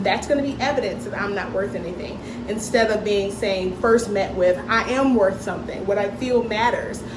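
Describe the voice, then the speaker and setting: With noticeable background noise and audible room echo, a woman speaks at a fairly high pitch with fairly even intonation. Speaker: parenting educator. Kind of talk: talk to parents. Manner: fast.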